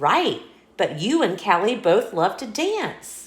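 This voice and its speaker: Using a put-on character voice, a woman speaks at a fairly slow pace with a fairly high pitch. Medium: read story. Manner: upbeat, confident.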